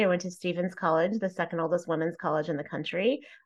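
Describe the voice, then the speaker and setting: Against a quiet background, a woman with an American accent talks at a medium pitch. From Texas, Plano. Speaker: speaker and humorist. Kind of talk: interview.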